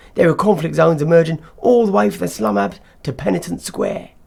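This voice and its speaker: A raspy man does a put-on character voice at a fairly high pitch, talking fairly quickly with very wide pitch swings. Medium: read story. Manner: shouting over noise.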